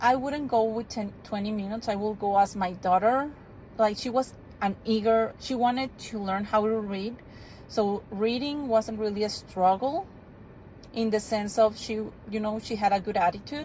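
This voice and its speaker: A woman speaks in a fairly high pitch with a Spanish accent. Her pitch varies in an ordinary way. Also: moderate pace. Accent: non-native English, Spanish. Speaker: homeschooling parent. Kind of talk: casual product review vlog. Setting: in a car. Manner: casual, with frequent fillers and restarts.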